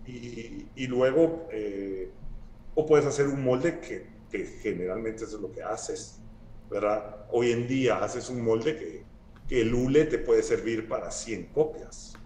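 Over light background noise and audible room echo, a man speaks at a fairly slow pace with big swings in loudness. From Guatemala. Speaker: sculptor; guest. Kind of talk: casual interview conversation. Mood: relaxed, thoughtful. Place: home room. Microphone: video call.

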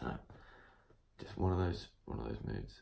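A man is whispering. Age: 20s. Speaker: fitness vlogger, personal trainer. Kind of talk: casual vlog to camera. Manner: animated. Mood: reflective, low-key. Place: home room. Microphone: phone near.

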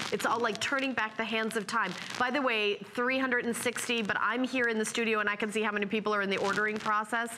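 An animated, fairly high female voice at a very fast pace, with noticeable background noise. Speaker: shopping channel host. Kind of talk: sales pitch. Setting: studio. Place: studio. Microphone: lapel.

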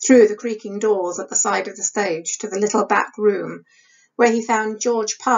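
Fairly even intonation, reading aloud in a natural voice.

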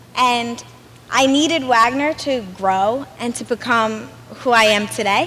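A woman speaks with an American accent. Her voice is high-pitched. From Brooklyn, New York; New York. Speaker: student body president. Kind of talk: welcome speech. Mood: warm, enthusiastic. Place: street. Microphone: podium.

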